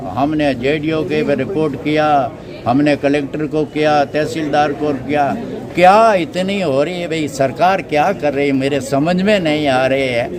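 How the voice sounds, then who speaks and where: A man talks in a fairly high pitch with ordinary pitch variation. Noticeable background noise and audible room echo fill the recording. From Rajasthan, Jodhpur district. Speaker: villager with a complaint. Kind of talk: interview. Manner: animated.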